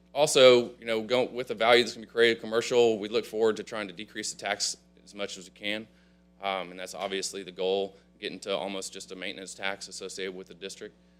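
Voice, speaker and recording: Music plays in the background as a man talks at a very fast pace and a fairly low pitch, with fairly even intonation and big swings in loudness. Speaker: district representative presenter. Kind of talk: presentation to council. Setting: council chambers.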